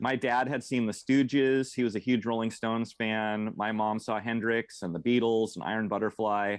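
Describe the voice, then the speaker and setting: With a plain, everyday voice, a man speaks at a medium pitch and with fairly even intonation over a quiet background. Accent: American. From rural Oregon, Mid Valley; Oregon. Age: 40s. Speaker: metal drummer and tour booker; podcast guest. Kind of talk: casual interview chat. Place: home room. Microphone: earbuds.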